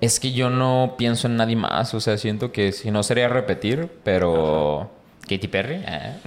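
An unremarkable speaking voice, a man's, at medium pitch with lively intonation and a fairly slow pace. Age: 30s. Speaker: podcast host. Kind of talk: casual chat.

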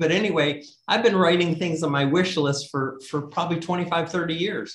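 The pace here is moderate. This man has an ordinary speaking voice. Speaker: author. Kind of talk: casual interview.

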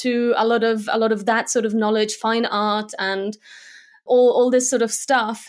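Monotone, flat intonation with a Slovak accent on a very clean recording with a silent background. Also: woman. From Germany. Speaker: motion graphics designer. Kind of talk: interview.

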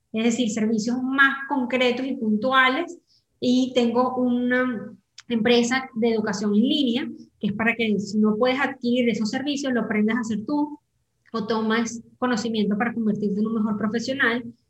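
A woman speaks in a normal speaking voice at a moderate pace. Her pitch is fairly high and her intonation fairly even. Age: 30s. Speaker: digital marketing entrepreneur. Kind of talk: interview conversation.

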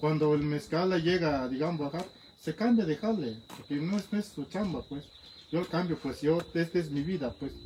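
With an Oaxacan accent, a man with a fairly high pitch speaks at a moderate pace with ordinary pitch variation against noticeable background noise. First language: Zapotec (speaking Spanish). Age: 30s. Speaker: master mezcal maker. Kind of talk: interview. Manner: halting.

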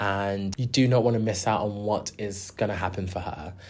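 A moderate pace in a South London accent. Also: man. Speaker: music podcast host. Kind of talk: solo commentary. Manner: animated.

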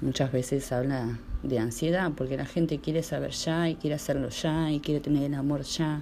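With a very deep, low pitch and a dark, mellow tone, this woman speaks at a moderate pace with fairly even intonation. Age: 30s. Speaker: tarot reader. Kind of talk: casual monologue.

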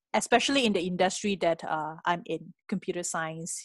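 A woman with a Malaysian accent and ordinary pitch variation, in a dry, close sound with no echo and a quiet background. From Malaysia, Penang. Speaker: venture capitalist. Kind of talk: interview. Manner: hesitant with many fillers.

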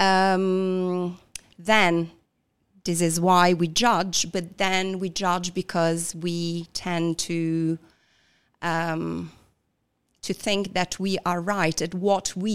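A woman's fairly low voice in an Italian accent, very slow, with long, frequent pauses, on a very clean recording with a silent background. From southern Italy. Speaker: coach. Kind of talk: interview. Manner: halting, frequent fillers.

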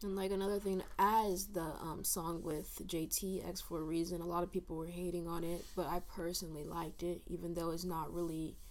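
With audible room echo, a woman speaks at a fairly low pitch in a monotone, flat intonation with hardly any pauses. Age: young (19). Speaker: college student. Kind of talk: casual chat.

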